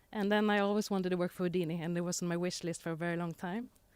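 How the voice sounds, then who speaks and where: A woman with a Swedish accent, fairly low pitch, a very fast pace, and fairly even intonation on a very clean recording with a silent background. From Sweden, Gotland. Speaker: panelist, e-commerce executive. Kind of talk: panel discussion.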